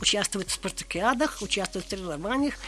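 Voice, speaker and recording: Against noticeable background noise, a woman's voice swings very widely in pitch. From Tatarstan, Russia (grew up on the Kama). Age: 80s+. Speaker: retired geologist. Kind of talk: casual interview.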